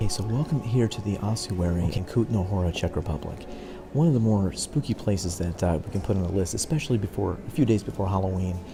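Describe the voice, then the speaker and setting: A man at a fairly low pitch, very fast pace and ordinary pitch variation, with music in the background. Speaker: podcast host, travel presenter. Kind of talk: on-location tour narration. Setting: inside an ossuary crypt. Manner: hushed, keeping voice down; halting, many fillers.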